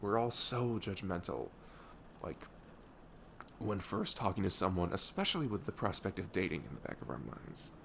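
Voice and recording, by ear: A man's put-on character voice, low in pitch and fairly bright in tone, with lively intonation, vocal fry and a moderate pace.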